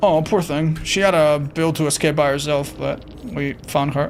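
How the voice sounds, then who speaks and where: Music plays in the background as a woman speaks in a very deep, low voice. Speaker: gaming streamer. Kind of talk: casual chat. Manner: sounds cranky to viewers.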